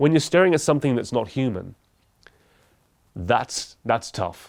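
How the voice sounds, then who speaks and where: A man speaks at a fairly quick pace with lively intonation. The recording is very clean, with a silent background. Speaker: podcast host and YouTuber. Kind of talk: solo talk to camera. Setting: talking to a camera. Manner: speaks fast when nervous.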